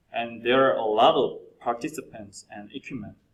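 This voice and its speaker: A man's medium-pitched voice in a Korean accent. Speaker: PhD candidate presenting a research paper. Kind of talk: conference presentation. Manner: halting, with fillers and self-corrections.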